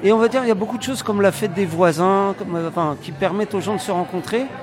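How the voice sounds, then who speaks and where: A man talks in a high pitch. Noticeable background noise runs behind him. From France. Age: 30s. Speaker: community project organizer. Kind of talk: interview. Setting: recorded on location. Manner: halting, many fillers.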